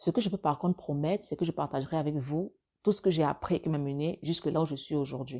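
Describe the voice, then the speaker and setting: This woman has a very deep, low pitch and a dark, mellow tone. Her pitch varies in an ordinary way, and she speaks at a very fast pace. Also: very clean recording, silent background. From Africa. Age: 30s. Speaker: podcaster and blogger. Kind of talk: solo monologue podcast. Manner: halting, near stutter.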